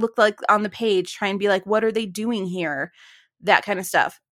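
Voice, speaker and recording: An unremarkable speaking voice from a woman, fairly high in pitch with ordinary variation, at a moderate pace, dry and close with no echo, on a very clean recording with a silent background. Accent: American. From Ohio, US. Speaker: podcast co-host, author. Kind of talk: casual chat, podcast on writing. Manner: playful, jokey.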